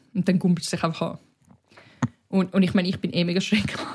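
Her medium-pitched voice somewhat breathy, a woman speaks at a very fast pace. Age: 20s. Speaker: podcast co-host. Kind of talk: casual chat.

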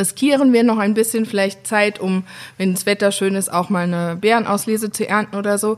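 This woman has an ordinary speaking voice, talking at a fairly quick pace with a medium pitch and fairly even intonation. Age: 30s. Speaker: winemaker. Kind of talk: interview. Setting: at the winery, face to face.

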